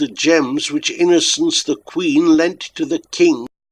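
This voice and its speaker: A man's put-on character voice, shrill and fairly slow. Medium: read story. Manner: capering and mocking.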